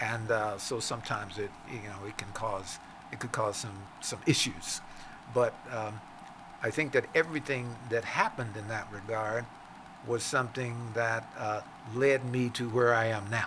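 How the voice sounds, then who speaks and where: A man with an American accent at a moderate pace and medium pitch, his intonation fairly even, with noticeable background noise. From Virginia, US South. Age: 80s+. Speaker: entrepreneur and author. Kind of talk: interview conversation. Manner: halting with many fillers.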